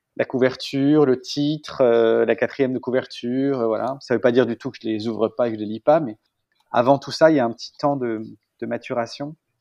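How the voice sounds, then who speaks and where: A man's medium-pitched voice with big swings in loudness. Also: moderate pace. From northern France, Picardy. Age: 30s. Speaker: architect and artist. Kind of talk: interview. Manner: hesitant, many fillers.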